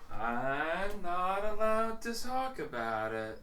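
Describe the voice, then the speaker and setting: In a put-on character voice, a man talks high and fairly slowly with very wide pitch swings, against clear background noise. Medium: actual play. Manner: evasive, teasing.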